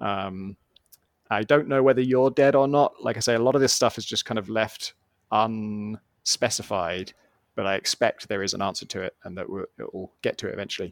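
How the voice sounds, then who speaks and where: Someone with a British accent speaks at a moderate pace with ordinary pitch variation, in a dry, close sound with no echo. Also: man. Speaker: podcast co-host. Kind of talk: casual chat.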